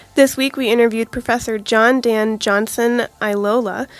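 Speaking at a fairly quick pace, a woman has a normal speaking voice, a fairly high pitch and fairly even intonation. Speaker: student podcast host. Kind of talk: casual chat.

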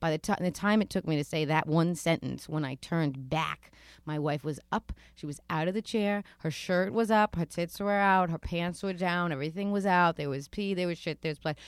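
On a very clean recording with a silent background, a woman with a New York accent speaks at a moderate pace in a fairly low pitch, her tone animated, bright and sharp. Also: ordinary pitch variation. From New York City (Queens). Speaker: author and storyteller. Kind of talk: casual interview.

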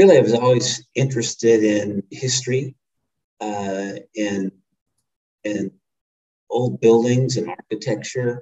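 A man with a medium pitch speaks at a fairly slow pace, with ordinary pitch variation. His speech has long, frequent pauses. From US Midwest, Missouri (Rolla). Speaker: preservation advocacy leader, former congressman. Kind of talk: interview.

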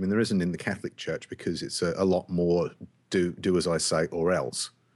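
Speaking very fast with an English accent, a man has a very deep, low pitch. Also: quiet background. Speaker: podcast host.

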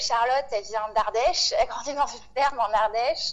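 A woman talks at a moderate pace, her pitch varying in an ordinary way, while noticeable background noise carries on. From Réunion and mainland France. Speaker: farming collective member. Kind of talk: interview.

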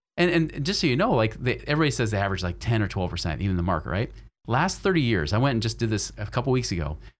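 Vocal fry runs through a man's fairly low voice at a very fast pace. His pitch swings very widely. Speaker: financial advisor and podcast host. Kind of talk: interview.

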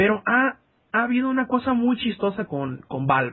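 Speaking at a fairly slow pace, a man's voice makes very wide pitch swings. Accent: Mexican. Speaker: podcast host. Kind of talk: casual chat.

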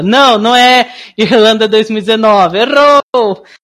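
Her pitch sits fairly high. The speaker is a woman. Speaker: podcast host. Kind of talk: casual chat. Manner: animated.

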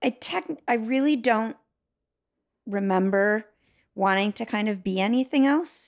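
A woman speaks at a fairly slow pace with a fairly high pitch and ordinary pitch variation, stopping often for long pauses. The recording is very clean, with a silent background. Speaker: physician. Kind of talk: interview.

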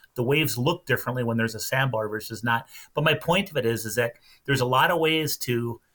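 In a very clean recording with a silent background, a man with a Minnesota accent speaks at a moderate pace, with medium pitch, ordinary pitch variation and a bright, sharp tone. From central Minnesota. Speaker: lake tourism representative and angler. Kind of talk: casual chat.

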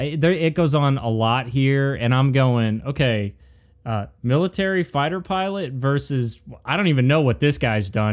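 Lively in intonation and fairly slow in pace, a man of medium pitch has an unremarkable speaking voice, captured in a very clean recording with a silent background. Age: 40s. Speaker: podcast co-host. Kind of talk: casual chat.

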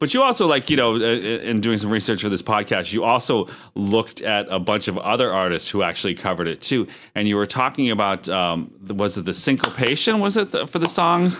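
With lively intonation and an American accent, a normal speaking voice moves at a fairly quick pace on a very clean recording with a silent background. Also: man, medium pitch for a man. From Erie, Pennsylvania. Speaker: podcast co-host. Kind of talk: casual chat.

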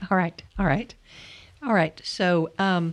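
This woman talks at a fairly low pitch. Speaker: podcast host. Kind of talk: casual interview chat. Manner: hesitant, filler-heavy.

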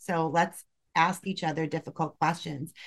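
This woman has an unremarkable speaking voice with a fairly low pitch. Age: 40s. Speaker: nurse. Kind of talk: casual chat.

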